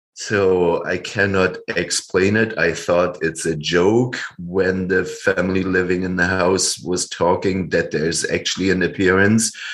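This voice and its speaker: A man with a German accent and a very deep, low pitch, fairly slow and monotone with flat intonation, hardly any pauses, against a quiet background. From Germany. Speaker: storyteller, kung fu coach, author. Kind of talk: interview answer.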